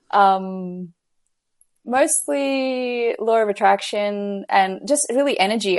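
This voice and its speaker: Against a quiet background, a woman with an Australian accent talks at a medium pitch with ordinary pitch variation. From Australia, Gold Coast. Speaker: business coach. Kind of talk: casual interview chat.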